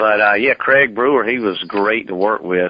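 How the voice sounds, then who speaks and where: Here a man speaks with a Southern US accent. His pitch is fairly low. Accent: Southern drawl. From US South, Georgia. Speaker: actor. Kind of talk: interview. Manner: halting.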